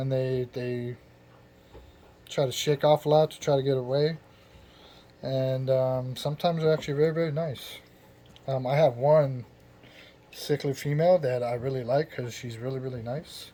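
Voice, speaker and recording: Long, frequent pauses break up a man's somewhat breathy speech at a moderate pace. His medium-pitched voice is dark and mellow, with fairly even intonation. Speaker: hobbyist aquarium keeper. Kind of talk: casual tutorial. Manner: halting, filler-heavy.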